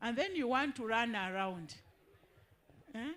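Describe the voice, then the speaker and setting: This woman has a plain, everyday voice. She speaks at a moderate pace with lively intonation. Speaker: education official. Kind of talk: public information session.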